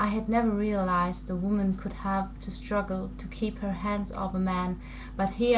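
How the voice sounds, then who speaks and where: A woman talks at a moderate pace, with noticeable background noise behind her. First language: not English. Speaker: amateur book reader. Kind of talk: audiobook-style reading of a novel excerpt.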